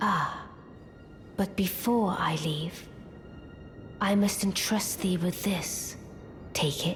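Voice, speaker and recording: A put-on character voice at a middle pitch goes at a very slow pace with long, frequent pauses over clear background noise. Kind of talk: archaic formal speech. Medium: video game. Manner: aloof, cool, regal.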